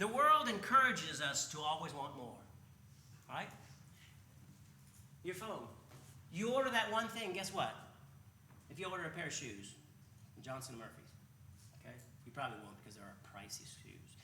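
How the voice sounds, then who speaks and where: A man with a fairly high pitch and an animated tone, very wide pitch swings and big swings in loudness, a moderate pace broken by long, frequent pauses, and audible room echo. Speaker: preacher. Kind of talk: sermon.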